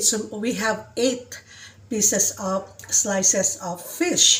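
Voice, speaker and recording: Over noticeable background noise, a woman speaks at medium pitch with ordinary pitch variation. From Visayas, Philippines. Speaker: caregiver vlogger. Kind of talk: casual cooking vlog. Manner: energetic.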